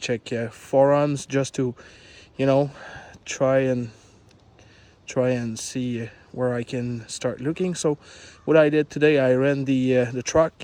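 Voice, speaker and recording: Speaking with a French accent, a man uses a medium pitch, a dark, mellow tone and monotone, flat intonation. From Quebec, Canada. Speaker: truck owner vlogger. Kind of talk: casual video explanation. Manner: halting, many fillers.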